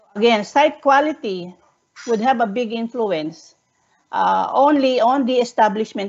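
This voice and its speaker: The intonation is lively while the talking moves at a fairly slow pace. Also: woman. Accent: Filipino. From Philippines. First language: Tagalog. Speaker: researcher presenting a study. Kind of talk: webinar presentation. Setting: online webinar. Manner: halting, frequent self-corrections.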